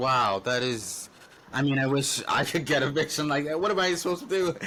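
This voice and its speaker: The delivery is fairly quick, with lively intonation and very even loudness. Noticeable background noise runs underneath. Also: man, fairly high pitch for a man. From western Canada. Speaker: podcast host. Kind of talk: casual chat.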